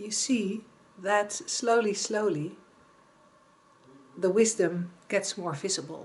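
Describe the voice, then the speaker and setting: A woman at medium pitch with ordinary pitch variation speaks at a very slow pace, with long, frequent pauses and big swings in loudness. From Netherlands. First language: Dutch. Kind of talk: reflective talk to camera. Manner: halting.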